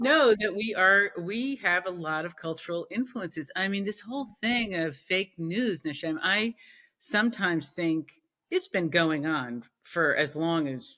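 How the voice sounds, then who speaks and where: A woman with an American accent has an ordinary speaking voice at a medium pitch. She talks at a fairly slow pace with lively intonation. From United States. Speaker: peace builder. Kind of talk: interview.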